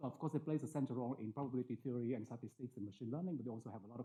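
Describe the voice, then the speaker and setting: The man's pitch sits at a medium level. He talks very fast. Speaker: mathematics researcher. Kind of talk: lecture. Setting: conference talk with audience. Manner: hesitant, many fillers.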